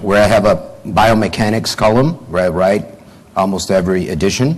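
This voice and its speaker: Amid noticeable background noise and audible room echo, a man with a Brazilian Portuguese accent speaks at a moderate pace. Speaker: orthodontist and professor. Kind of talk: conference lecture. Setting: conference hall with audience. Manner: hesitant, many fillers.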